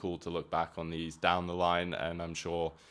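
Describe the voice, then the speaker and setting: A man's very deep, low voice at a moderate pace, on a very clean recording with a silent background. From Hong Kong, international upbringing. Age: 20s. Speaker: drummer and podcast host. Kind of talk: casual monologue podcast. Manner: casual, frequent filler words.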